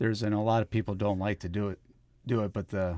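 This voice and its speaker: A man's fairly low voice at a fairly quick pace, with fairly even intonation, a normal speaking voice, on a very clean recording with a silent background. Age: 40s. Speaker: farmer. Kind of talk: podcast interview. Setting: studio.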